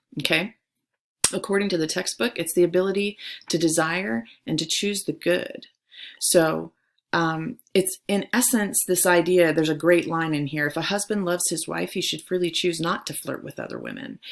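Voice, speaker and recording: A woman with a fairly low pitch and vocal fry speaks at a moderate pace with ordinary pitch variation, on a very clean recording with a silent background. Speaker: high school theology teacher. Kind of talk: recorded lecture for students. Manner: animated.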